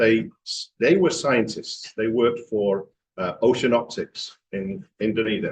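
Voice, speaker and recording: A man with an English accent talks at a very slow pace. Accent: English accent, noticeable. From England, Manchester. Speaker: franchise executive. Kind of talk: club talk presentation. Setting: club meeting with audience.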